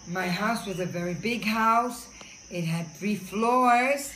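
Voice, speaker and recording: A woman speaks at a medium pitch with ordinary pitch variation. There is noticeable background noise and audible room echo. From Bronx, New York and Puerto Rico. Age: 60s. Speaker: interviewee. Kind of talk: interview.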